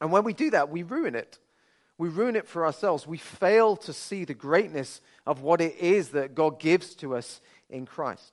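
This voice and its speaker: A high-pitched man with a Birmingham accent, lively intonation and a moderate pace. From Birmingham, England. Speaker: pastor. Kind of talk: sermon.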